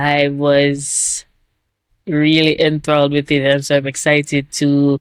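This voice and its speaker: Speaking with a Jamaican accent, the voice moves at a very slow pace. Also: woman, dry, close sound with no echo. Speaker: YouTube reactor. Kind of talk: casual video intro to camera. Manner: frequent filler words, rambling.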